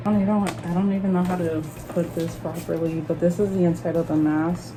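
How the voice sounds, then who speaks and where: A woman with a Spanish accent, fairly low in pitch, at a moderate pace, with audible room echo and noticeable background noise. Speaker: collector YouTuber. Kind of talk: unboxing video.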